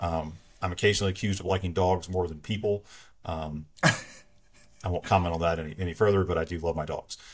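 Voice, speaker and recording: Fairly quick, somewhat breathy speech in a monotone, flat intonation, on a very clean recording with a silent background. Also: man, very deep, low pitch for a man. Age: 40s. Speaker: church elder and lawyer. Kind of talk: casual interview.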